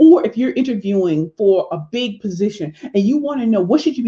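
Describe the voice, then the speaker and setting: In an American accent, a woman talks at a fairly quick pace, her voice somewhat breathy. Her tone is animated, with very wide pitch swings. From Missouri (Saint Louis). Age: 40s. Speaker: motivational speaker and pitch coach. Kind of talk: live stream talk promoting books.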